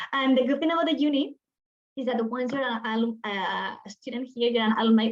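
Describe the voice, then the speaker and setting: Speaking at a fairly quick pace, a woman has a high pitch and ordinary pitch variation. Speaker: university program representative. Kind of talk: webinar presentation. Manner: fast.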